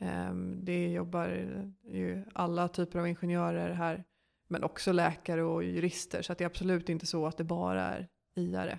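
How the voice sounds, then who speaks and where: In a very clean recording against a silent background, a woman talks at a moderate speed. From Sweden, Stockholm. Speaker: management consultant. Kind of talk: interview.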